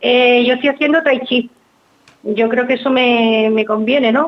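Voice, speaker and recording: A woman's high voice with fairly even intonation at a moderate pace. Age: 60s. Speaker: caller. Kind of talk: phone call-in question.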